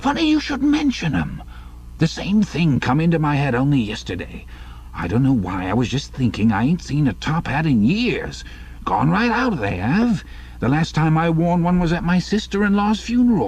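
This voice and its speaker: Doing a put-on character voice, a man speaks with a rumbling, fairly high pitch at a moderate pace amid noticeable background noise. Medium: read story. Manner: grumbling, rambling.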